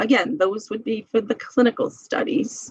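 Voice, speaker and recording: A woman's fairly high, somewhat breathy voice at a moderate pace, with very wide pitch swings. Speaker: medical librarian teaching a seminar. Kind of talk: lecture.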